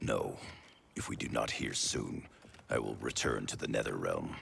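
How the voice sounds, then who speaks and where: Using a put-on character voice, a man growls his lines at a moderate pace. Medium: video game. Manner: firm, clipped.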